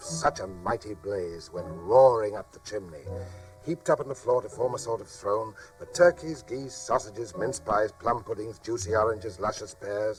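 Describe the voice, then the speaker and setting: A man talks at a moderate pace with lively intonation and big swings in loudness. Music plays in the background. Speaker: actor. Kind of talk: dramatised audiobook narration for children.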